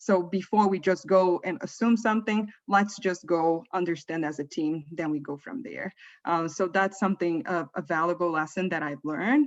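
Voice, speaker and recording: With hardly any pauses, a woman speaks at a moderate pace and a fairly low pitch with lively intonation over a quiet background. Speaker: manager. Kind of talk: panel discussion. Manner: soft-spoken.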